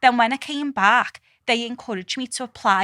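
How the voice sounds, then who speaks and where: Heard on a very clean recording with a silent background, a woman with a strong Scouse accent speaks at a high pitch. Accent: strong Liverpool (Scouse). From Liverpool, England. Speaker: scientist. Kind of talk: podcast interview answer. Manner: casual, candid.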